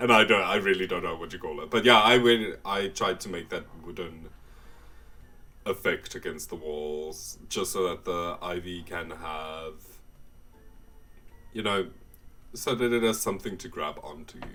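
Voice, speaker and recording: A man with a South African accent talks at a moderate pace and a fairly low pitch, with ordinary pitch variation, big swings in loudness, and long, frequent pauses. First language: Afrikaans. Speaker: gaming YouTuber. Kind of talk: casual voiceover commentary. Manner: casual, hesitant.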